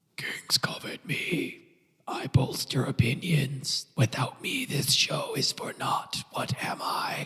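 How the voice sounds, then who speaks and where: A raspy, put-on character voice with a sinister tone speaks at a low-to-middle pitch and a fairly slow pace. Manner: riddling, sinister.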